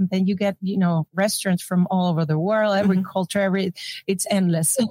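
A woman speaks at a fairly quick pace with a Spanish accent, her tone dark and mellow and somewhat breathy. The sound is dry and close with no echo, her loudness very even and her intonation fairly even. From Venezuela (Caracas). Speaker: chef. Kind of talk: interview.

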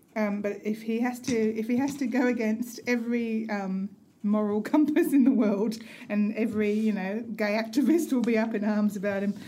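Noticeable background noise runs under speech delivered at a moderate pace with fairly even intonation. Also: woman, fairly high pitch for a woman. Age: 50s. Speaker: podcast co-host. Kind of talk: casual chat.

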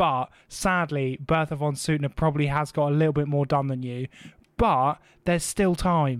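In a very clean recording with a silent background, a man with a fairly high pitch talks with a British accent. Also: moderate pace. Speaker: podcast host. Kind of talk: comedic casual chat. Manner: animated.

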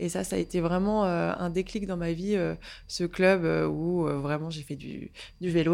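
The recording is very clean and the background silent. A woman talks at a very slow pace. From northern France, Picardy (Saint-Quentin). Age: 20s. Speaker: yoga and pilates teacher. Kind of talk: casual interview. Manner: hesitant, many fillers and repetitions.

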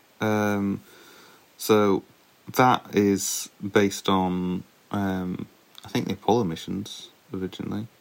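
A man speaks in a fairly low pitch with a flat, monotone delivery. His pace is very slow, broken by long, frequent pauses. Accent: British. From UK. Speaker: podcast co-host, layperson. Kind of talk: casual chat.

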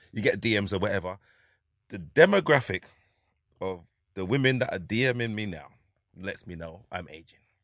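In a North London accent, a man speaks with ordinary pitch variation, big swings in loudness, and long, frequent pauses. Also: fairly low pitch for a man, moderate pace, very clean recording, silent background. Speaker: comedian. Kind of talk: casual chat.

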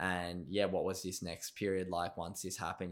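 The recording is very clean with a silent background. A man with an Australian accent talks at a fairly quick pace in a very deep, low voice. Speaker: podcast host. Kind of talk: casual interview chat. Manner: enthusiastic.

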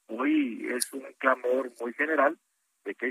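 A bright, sharp tone comes through with fairly even intonation in a dry, close sound with no echo. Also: man. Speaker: senator. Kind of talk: radio interview.

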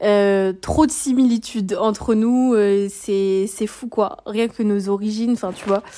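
At a medium pitch and a rather slow pace, a woman talks in an ordinary speaking voice. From France. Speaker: listener sending voice message. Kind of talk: voice message testimonial.

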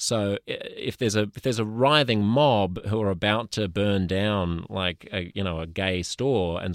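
A man with an Australian accent, a fairly low pitch and a moderate pace. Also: dry, close sound with no echo. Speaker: podcast host. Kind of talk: casual chat.

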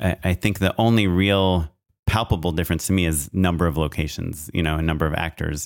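A man's very deep, low voice at a moderate pace, with ordinary pitch variation, a dry, close sound with no echo, and a very clean recording against a silent background. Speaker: film and commercial director, podcast co-host. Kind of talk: casual chat. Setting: studio microphone. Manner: loud and clear, close to the mic.

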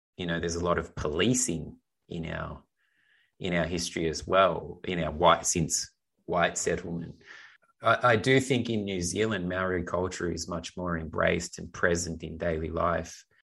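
With an Australian accent, a man talks in a very deep, low pitch with ordinary pitch variation. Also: moderate pace, quiet background. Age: 40s. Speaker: filmmaker, writer and actor co-hosting a film review show. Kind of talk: casual film discussion.

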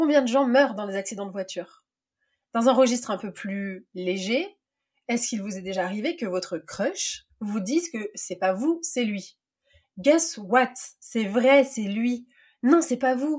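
Using lively intonation, a woman with a fairly high pitch talks at a fairly slow pace with long, frequent pauses. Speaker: podcast host and life coach. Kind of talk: read monologue.

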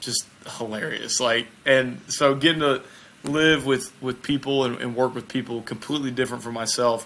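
Talking at a fairly quick pace in a Southern US accent, a man uses a medium pitch with ordinary pitch variation. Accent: Southern American. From US South, small town in Mississippi. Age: 20s. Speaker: bobsled athlete. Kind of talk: casual interview chat.

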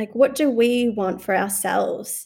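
Her voice is high-pitched, and the woman has an Australian accent. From Australia, moved from Sri Lanka at age two. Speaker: lawyer and researcher. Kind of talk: casual chat. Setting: video call.

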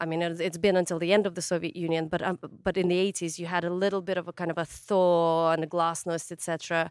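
A woman with a Ukrainian accent at a very fast pace, fairly low in pitch, monotone and flat, with hardly any pauses, on a very clean recording with a silent background. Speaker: chef and author. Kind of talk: interview conversation. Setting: outdoors in a garden by a wood fire.

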